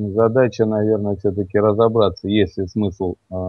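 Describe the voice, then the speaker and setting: Music plays in the background as a man speaks at a fairly low pitch. The sound is dry, with no echo. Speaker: radio co-host. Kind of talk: radio talk discussion. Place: studio.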